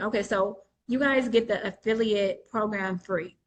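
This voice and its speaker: This woman has an unremarkable speaking voice, pitched fairly high. Her intonation is fairly even and her pace moderate. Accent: American. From New York State. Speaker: entrepreneur selling credit trade lines. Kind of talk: webinar Q&A explanation. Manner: casual, frequent filler ums.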